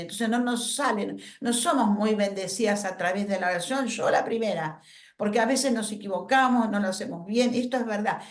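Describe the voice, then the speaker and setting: A woman speaks fairly quickly, her voice carrying audible room echo. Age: 70s. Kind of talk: workshop talk.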